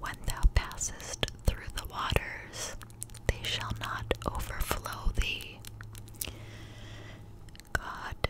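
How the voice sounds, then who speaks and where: A woman is whispering. Her words come out in a whisper. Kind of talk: devotional reading with commentary, ASMR. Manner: whispered, slow, soft. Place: home room. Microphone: studio mic.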